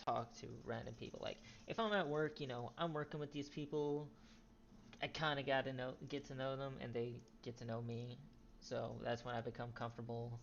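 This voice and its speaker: The voice is soft-spoken. It keeps a moderate pace. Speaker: gaming youtuber. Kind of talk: gameplay commentary. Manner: halting. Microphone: poor quality, quiet mic.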